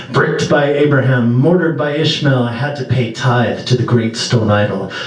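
With audible room echo, a man speaks in a dramatic tone at a medium pitch and with ordinary pitch variation. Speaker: poet. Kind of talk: poem performance, spoken word. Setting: small venue, live audience. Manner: dramatic, rhythmic delivery. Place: stage.

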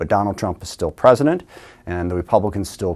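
A man speaks at a fairly low pitch with a quiet background behind him. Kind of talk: recorded address to camera. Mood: earnest, policy argument. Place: studio. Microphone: lapel.

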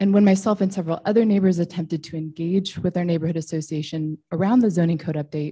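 A woman with an American accent talks very fast in a dark, mellow, somewhat breathy voice at a fairly low pitch, her intonation fairly even, over a quiet background. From Boise, Idaho, US; Idaho. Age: 30s. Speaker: public commenter. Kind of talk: public testimony. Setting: public hearing. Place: hall. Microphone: podium.

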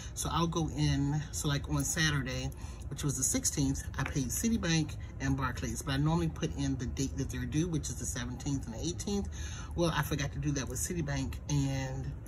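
Someone speaks at a moderate pace with noticeable background noise behind them. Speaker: planner creator. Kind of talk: casual budgeting vlog chat. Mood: relaxed, conversational. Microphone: phone near.

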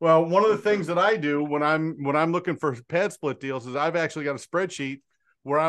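A plain, everyday voice with fairly even intonation against a quiet background. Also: man. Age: 50s. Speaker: real estate wholesaling coach. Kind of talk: casual group call. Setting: video call. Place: home room. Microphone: studio mic.

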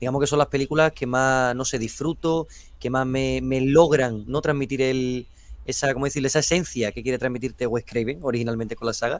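A man talks at a fairly quick pace with fairly even intonation, the sound dry with no echo. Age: young. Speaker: film youtuber. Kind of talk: casual debate. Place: home room. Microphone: video call.

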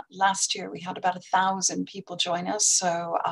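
An ordinary speaking voice comes at a moderate pace. The background is quiet. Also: woman. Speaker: exam board representative. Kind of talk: sponsor product presentation. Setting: online conference. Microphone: video call.

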